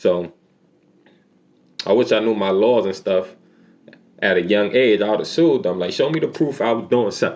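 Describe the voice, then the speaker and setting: This man sounds animated, speaking in a New York accent at a moderate pace with a fairly low pitch and long, frequent pauses. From New York City. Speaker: YouTuber telling life stories. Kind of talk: storytime monologue. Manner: casual, animated.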